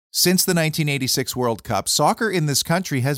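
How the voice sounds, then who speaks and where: A man with a Canadian accent and an unremarkable speaking voice talks fairly slowly at a fairly high pitch with lively intonation, the sound dry and close with no echo. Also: very clean recording, silent background. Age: 50s. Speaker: podcast host. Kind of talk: scripted monologue; interview.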